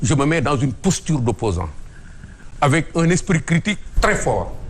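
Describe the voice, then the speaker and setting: Speaking at a moderate pace, a man with a fairly high pitch, very wide pitch swings and vocal fry leaves long, frequent pauses. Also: very even loudness. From Senegal. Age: 60s. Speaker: former police commissioner. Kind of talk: TV interview.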